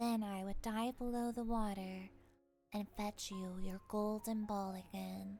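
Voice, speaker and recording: Over background music, a female-sounding put-on character voice speaks at medium pitch and a fairly slow pace. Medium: read story. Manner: earnest, insistent.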